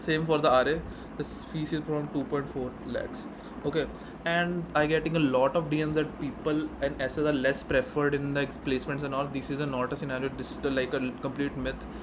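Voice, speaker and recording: With an Indian accent, a man talks at a fairly quick pace in a fairly high pitch and a flat monotone. Noticeable background noise and audible room echo fill the recording. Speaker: student mentor, YouTuber. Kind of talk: tutorial. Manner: fast; casual.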